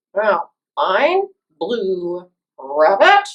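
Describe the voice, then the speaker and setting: This is a cartoonish character voice that sounds female. Its pitch is medium for a woman. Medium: puppet.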